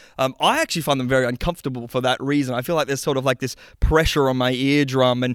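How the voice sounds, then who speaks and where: A man with an Australian accent at a medium pitch, talking very fast, in a very clean, dry, close recording with a silent background and no echo. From Western Australia. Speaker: sound technician. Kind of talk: interview. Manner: halting.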